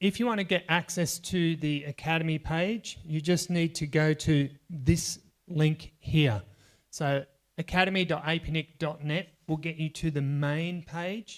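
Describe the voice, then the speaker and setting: An unremarkable speaking voice goes at a fairly slow pace with fairly even intonation. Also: man, fairly high pitch for a man. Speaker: workshop trainer. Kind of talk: workshop lecture.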